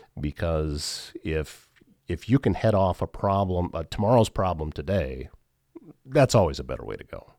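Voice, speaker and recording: At a moderate pace, a man with a very deep, low pitch and vocal fry uses lively intonation and big swings in loudness, on a very clean, dry, close recording with a silent background and no echo. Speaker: podcast host. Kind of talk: casual interview chat.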